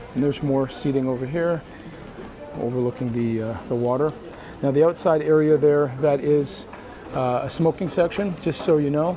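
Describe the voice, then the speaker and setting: Noticeable background noise sits behind a man's voice. He speaks at a moderate pace with ordinary pitch variation. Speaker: cruise travel video host. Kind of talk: walking ship tour narration, pointing out venues to camera. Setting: onboard cruise ship, partly outdoors on windy deck. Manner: relaxed, chatty, frequent 'uh' fillers; friendly enthusiastic, upbeat asides. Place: hall. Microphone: phone near.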